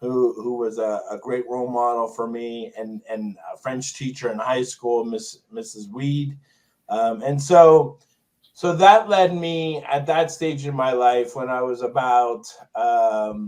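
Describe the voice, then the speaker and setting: A man at medium pitch and a very slow pace. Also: ordinary pitch variation. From Long Island, New York (born in Montreal). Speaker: special education teacher. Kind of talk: podcast interview. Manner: halting, repetitive.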